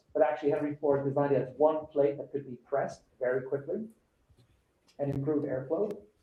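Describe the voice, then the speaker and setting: A fairly high male voice with audible room echo. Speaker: show host and designer. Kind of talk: live presentation of a design challenge brief. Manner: conversational, with frequent fillers.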